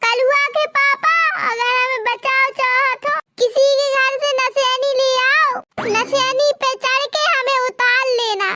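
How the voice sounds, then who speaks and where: A woman does a cartoonish character voice at an extremely high pitch, speaking at a fairly slow pace with fairly even intonation and very even loudness over music in the background. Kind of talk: comic overacting. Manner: melodramatic, whiny.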